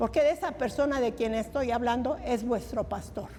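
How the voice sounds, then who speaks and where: Moderate-paced speech from a woman, noticeable background noise behind it. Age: 80s+. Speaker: lay preacher. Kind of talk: testimony. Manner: animated.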